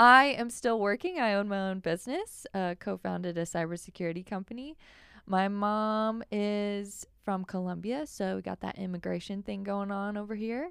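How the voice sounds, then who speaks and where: On a very clean recording with a silent background, a woman with an ordinary speaking voice talks at a moderate pace, at medium pitch and with ordinary pitch variation. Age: 30s. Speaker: podcast co-host, business owner. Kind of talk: casual chat.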